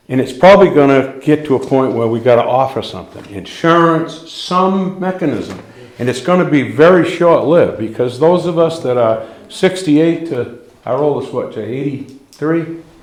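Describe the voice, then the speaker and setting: Noticeable background noise and audible room echo surround the recording. A man speaks at fairly high pitch with ordinary pitch variation. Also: moderate pace. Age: 60s. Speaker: volunteer firefighter. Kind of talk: public meeting comment. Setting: town budget hearing. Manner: halting.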